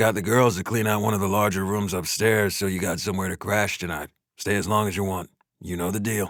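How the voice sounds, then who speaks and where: Raspy and monotone with flat intonation, a put-on character voice runs at a fairly quick pace. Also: man, fairly low pitch for a man. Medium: read story. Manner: terse, gruff.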